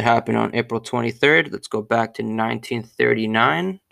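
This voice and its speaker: A man of medium pitch speaks fairly slowly with a bright, sharp tone in a very clean recording with a silent background. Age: 20s. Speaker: sports podcast host. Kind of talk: solo sports history monologue. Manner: casual, conversational with fillers.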